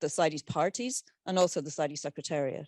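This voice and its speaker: With an Irish accent, a woman is heard in a dry, close sound with no echo over a quiet background. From Ireland. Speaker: convention secretariat scientific officer. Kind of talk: conference presentation.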